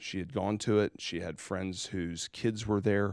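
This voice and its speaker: A man with a very deep, low voice and an American accent talks at a moderate pace with ordinary pitch variation. The recording is very clean, with a silent background. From South Carolina. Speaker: pastor and podcast host. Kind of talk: casual chat.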